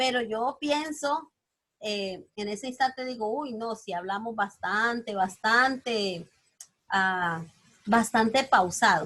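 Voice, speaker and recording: A woman speaks at a very slow pace with a fairly high pitch. Her tone is bright and sharp, with ordinary pitch variation. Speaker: teacher. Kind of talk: lecture.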